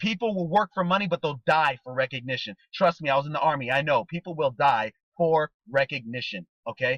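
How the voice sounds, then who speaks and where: A man, animated and lively in intonation, at a fairly high pitch and fairly quick pace, in a dry, close sound with no echo. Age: 30s. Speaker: network marketing trainer. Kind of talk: motivational training talk. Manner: fast.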